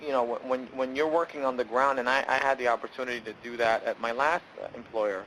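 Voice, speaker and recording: Speaking very fast with hardly any pauses, a man with an American accent keeps a medium pitch and fairly even intonation. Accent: New York accent, comes out sometimes. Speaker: benefits program presenter. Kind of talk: webinar presentation. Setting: online webinar.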